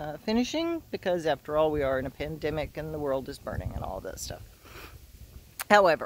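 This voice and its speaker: This woman talks at a fairly quick pace, her pitch very deep and low with ordinary variation. Her loudness swings widely. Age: 60s. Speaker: teacher and graduate student. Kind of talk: casual video message. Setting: outdoors on a walk.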